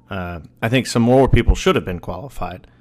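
Here is a man with an unremarkable speaking voice at a medium pitch. He talks at a fairly quick pace in a very clean recording with a silent background. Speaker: podcast host. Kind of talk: casual chat. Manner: joking, teasing, casual.

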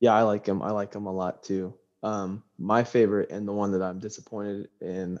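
A man with an American accent speaks at a moderate pace in an unremarkable speaking voice. His pitch is fairly low, and the background is quiet. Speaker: podcast co-host. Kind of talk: casual chat.

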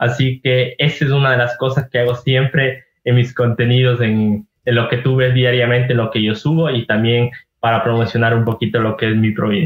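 A man speaks at a moderate pace in a medium pitch, somewhat breathy and with monotone, flat intonation. His loudness stays very even. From Ecuador, Ibarra (Imbabura). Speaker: travel content creator. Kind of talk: casual interview chat.

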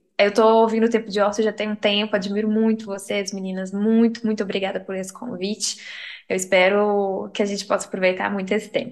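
A woman talks at a fairly quick pace. Her medium-pitched voice is monotone and flat. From interior of Minas Gerais, Brazil. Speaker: psychologist. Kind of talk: casual chat.

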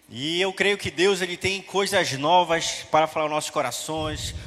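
A man with a fairly high-pitched voice talks over noticeable background noise. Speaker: preacher. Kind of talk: sermon. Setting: church. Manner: animated, fervent, preaching with rhythmic repetition and exhortation.

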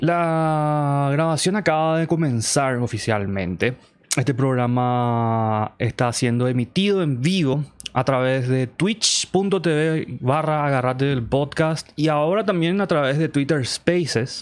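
A man's fairly high voice at a very slow pace, with very even loudness. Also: ordinary pitch variation, very clean recording, silent background. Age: 30s. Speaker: podcast host. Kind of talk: casual chat. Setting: live stream.

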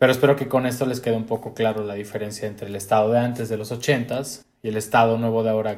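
A man speaks at medium pitch with monotone, flat intonation. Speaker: podcast co-host. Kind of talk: casual chat.

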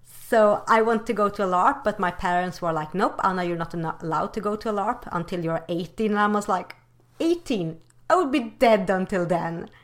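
Speaking at a fairly quick pace, a woman with a Swedish accent uses a medium pitch and ordinary pitch variation. The recording is very clean against a silent background. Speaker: podcast co-host. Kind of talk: casual chat. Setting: call. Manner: animated.

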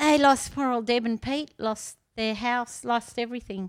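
The speaker talks with an Australian accent on a very clean recording with a silent background. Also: woman. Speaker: gardening expert. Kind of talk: casual chat. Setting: at home.

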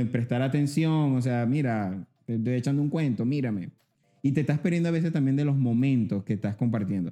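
A man talks at a fairly quick pace in a dark, mellow tone. His pitch is medium, with ordinary variation. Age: 30s. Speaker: podcast host. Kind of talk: casual interview chat. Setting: studio.

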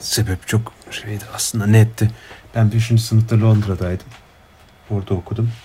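A man talks at a moderate pace with a fairly low, dark, mellow tone that is somewhat breathy. His intonation is monotone and flat. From Turkey. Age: 20s. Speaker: PhD student in political science. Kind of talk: casual chat. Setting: video call. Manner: hesitant, many fillers.

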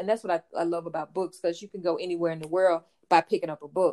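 A woman speaks in a rural Louisiana accent. Her voice sounds dry and close, without echo. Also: very clean recording, silent background. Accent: rural Southern US (Louisiana). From US South, rural Louisiana. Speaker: author. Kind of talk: interview.

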